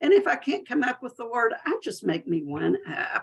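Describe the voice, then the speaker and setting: Speaking at a fairly slow pace, a woman talks in a Southern US accent. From US South. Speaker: business mentor and marketing speaker. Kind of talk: webinar presentation. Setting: webinar. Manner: friendly, folksy.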